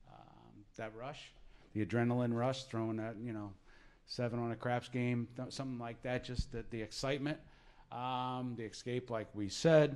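With an American accent, a man speaks at a medium pitch and moderate pace. He has a plain, everyday voice. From southern New Jersey. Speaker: gambling education advisor; presenter. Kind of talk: presentation. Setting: room with live audience. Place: meeting room. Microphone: handheld.

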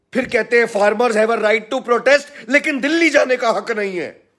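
Against a quiet background, a man speaks loudly at an extremely high pitch with fairly even intonation. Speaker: political commentator. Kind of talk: political commentary monologue. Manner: loud, impassioned. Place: home room. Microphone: phone near.

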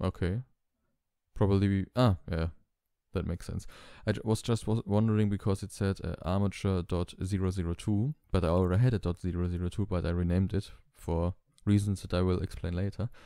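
A man with a non-native accent talks at a fairly quick pace, his very deep, low pitch carrying a dark, mellow tone. Intonation stays fairly even on a very clean recording with a silent background. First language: not English. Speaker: tutorial channel creator. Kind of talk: tutorial. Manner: hesitant, many fillers.

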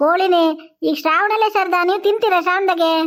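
At a fairly slow pace, a cartoonish, female-sounding character voice speaks at an extremely high pitch. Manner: stubborn, haggling.

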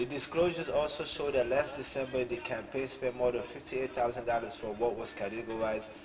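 With clear music in the background, a man talks at a moderate pace with fairly even intonation. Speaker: political commentary vlogger. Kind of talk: commentary reading news article. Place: home room. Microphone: webcam.

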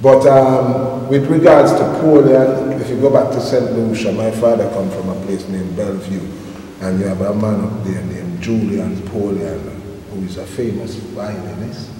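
Through light background noise and audible room echo, a man with a fairly low pitch speaks at a moderate pace with ordinary pitch variation. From England, southeast London, St Lucian parents. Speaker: reggae musician and music producer. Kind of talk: interview. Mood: relaxed storytelling, anecdotes. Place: studio.

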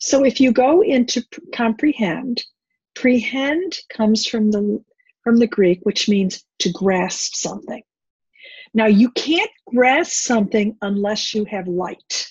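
A woman talks at a very slow pace in a somewhat breathy voice with lively intonation. The background is quiet and the sound is dry with no echo. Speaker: bible teacher. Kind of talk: teaching talk. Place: home room. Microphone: webcam.

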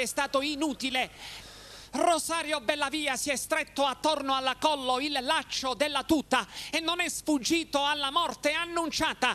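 A man's extremely high-pitched, raised and projected voice with a solemn tone, fairly even intonation and a moderate pace. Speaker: TV news reporter. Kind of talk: formal TV news report reading. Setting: TV news package. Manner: formal; solemn, measured.

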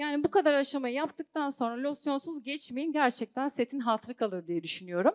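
A woman speaks with a high pitch. The background is quiet. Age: 30s. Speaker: singer and network marketing seller; network marketing seller. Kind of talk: sales seminar talk. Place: hall. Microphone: handheld.

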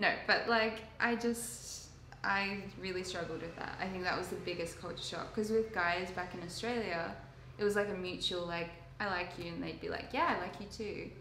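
A woman speaks at a moderate pace. Light background noise and audible room echo are present. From Sydney, Australia. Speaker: intern. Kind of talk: casual chat. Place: home room. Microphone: camera far.

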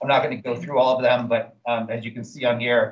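A man's voice at a fairly quick pace, with fairly even intonation. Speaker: state climate policy official presenting. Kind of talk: meeting presentation. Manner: fast; halting, many fillers. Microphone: video call.

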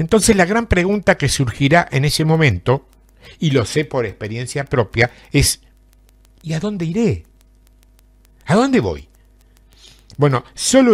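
A somewhat breathy voice in an Argentine accent, very wide pitch swings and a fairly slow pace, on a very clean recording with a silent background. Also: man. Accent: Argentine Spanish (Rioplatense, voseo). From Argentina, southern Santa Fe province. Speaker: preacher. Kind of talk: sermon.

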